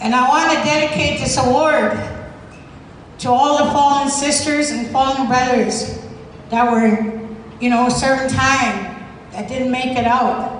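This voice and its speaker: A high-pitched woman speaks with fairly even intonation and long, frequent pauses. Noticeable background noise and audible room echo surround her. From Alberta, Canada (Cree, Maskwacis). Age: 60s. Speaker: former prisoner, activist. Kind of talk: award acceptance speech. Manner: hesitant, many fillers.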